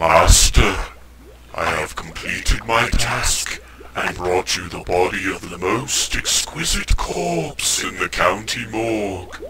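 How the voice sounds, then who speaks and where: A man puts on a character voice with a very deep, low pitch and big swings in loudness. His pace is fairly slow, with clear background noise behind him. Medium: audio drama. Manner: obedient.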